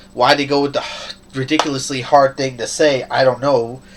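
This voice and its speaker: A man's fairly high pitch against noticeable background noise. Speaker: gaming video reviewer. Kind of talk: casual game review monologue.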